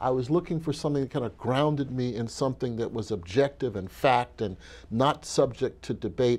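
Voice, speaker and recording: A man speaks with ordinary pitch variation and a moderate pace. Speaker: interview guest. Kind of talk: interview answer. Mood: reflective, occasional laughs. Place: hall. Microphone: lapel.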